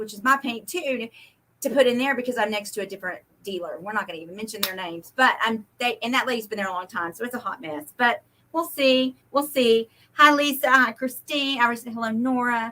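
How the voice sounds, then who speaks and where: An American-accented woman with a high pitch and ordinary pitch variation talks at a fairly quick pace, her loudness swinging widely. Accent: Oklahoma and Texas Southern. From Oklahoma / Texas. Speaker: livestream host selling paint. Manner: fast talker.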